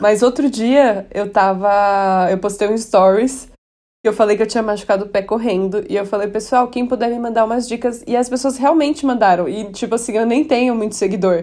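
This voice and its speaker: A woman speaks at a fairly high pitch with ordinary variation and a moderate pace. It is an unremarkable speaking voice, over a quiet background. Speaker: podcast co-host. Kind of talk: casual chat.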